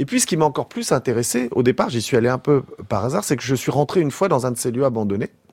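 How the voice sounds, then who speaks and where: The recording has a dry, close sound with no echo as a man speaks at a medium pitch. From France. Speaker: historian. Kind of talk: radio interview.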